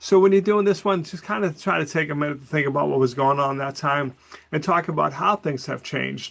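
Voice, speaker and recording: A normal speaking voice, its pitch varying in an ordinary way, goes at a fairly quick pace over a quiet background. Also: man. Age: 60s. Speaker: college professor. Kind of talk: recorded class announcement. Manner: casual, conversational.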